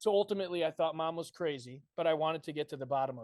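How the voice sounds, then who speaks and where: A man with an American accent and a plain, everyday voice talks at a fairly quick pace and a fairly high pitch with ordinary pitch variation, in a dry, close sound with no echo. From Connecticut, US Northeast. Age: 20s. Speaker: army veteran and conspiracy video maker. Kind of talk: podcast debate interview.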